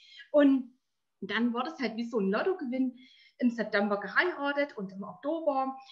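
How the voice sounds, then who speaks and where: Lively intonation marks a woman's high-pitched voice at a moderate pace. The background is quiet. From eastern Germany, Erzgebirge (Saxony); Saxony, Germany. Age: 40s. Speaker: entrepreneur, network marketer. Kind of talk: interview. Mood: cheerful, warm. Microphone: webcam.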